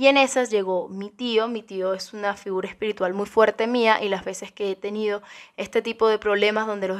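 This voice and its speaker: A woman at a fairly quick pace and fairly high pitch, with a Cuban accent, monotone, flat intonation, and a quiet background. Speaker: YouTuber. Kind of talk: ASMR-style ghost story telling, hushed and suspenseful. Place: home room. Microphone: studio mic.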